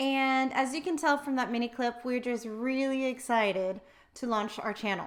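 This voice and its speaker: With a Texan accent, a woman talks at a moderate pace. Her voice is high-pitched, with ordinary pitch variation. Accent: American, Texan. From Texas (Wichita Falls). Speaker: financial advisor. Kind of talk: casual chat.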